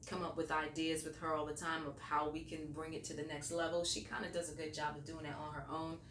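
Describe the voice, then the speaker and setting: A woman's very deep, low voice, very fast and monotone with flat intonation, amid audible room echo and noticeable background noise. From New York. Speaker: radio host. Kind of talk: interview. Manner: casual, many fillers.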